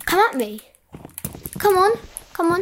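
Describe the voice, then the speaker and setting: A woman does a put-on character voice that is squeaky and extremely high in pitch. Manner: taunting, playful.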